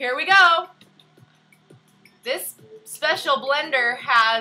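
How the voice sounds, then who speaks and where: A woman's high-pitched, raised, projected voice with lively intonation, music in the background. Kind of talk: cooking demonstration to camera. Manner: slow, loud; playful, silly.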